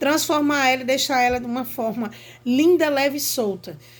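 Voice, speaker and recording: In a room with audible echo, a woman speaks at a high pitch and moderate pace with ordinary pitch variation. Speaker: teacher. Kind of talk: lecture.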